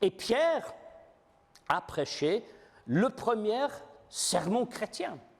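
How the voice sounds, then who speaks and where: This man talks at a very slow pace while his pitch swings very widely. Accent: non-native. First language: not French (speaking French). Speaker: preacher. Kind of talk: sermon. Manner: halting, many fillers.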